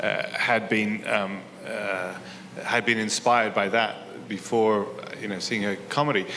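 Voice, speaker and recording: The man's voice carries audible room echo along with noticeable background noise. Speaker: interviewer. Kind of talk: onstage interview. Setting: stage with audience. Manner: halting.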